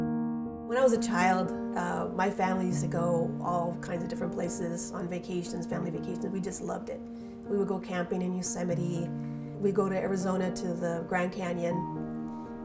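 A woman speaks at a moderate pace. Loud music plays in the background. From Southern California. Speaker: clean air advocate. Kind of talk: personal testimony interview. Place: kitchen. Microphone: lapel.

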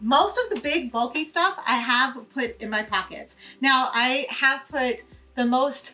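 A woman's raised, projected voice comes through at a fairly slow pace. Faint music plays in the background. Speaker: travel tips vlogger. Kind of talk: tutorial. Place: home room.

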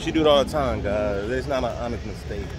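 Clear music plays in the background as a man speaks at a moderate pace. The voice sounds dry with no echo. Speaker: vlogger. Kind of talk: casual vlog chat. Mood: joking, teasing banter. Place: street. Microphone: phone near.

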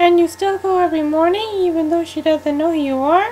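A woman's put-on character voice, extremely high, fairly quick and fairly even in intonation, against clear background noise. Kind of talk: audio drama dialogue.

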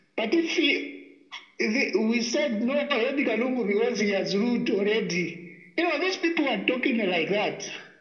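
The speech goes at a moderate pace. Noticeable background noise can be heard. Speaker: caller. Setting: phone call.

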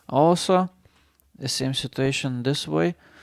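A man with a non-native accent and a medium pitch speaks at a moderate pace in a calm, relaxed tone on a very clean recording with a silent background. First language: not English. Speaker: gamer. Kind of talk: casual gameplay commentary. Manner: calm, low-key, relaxed; subdued, unexcited.

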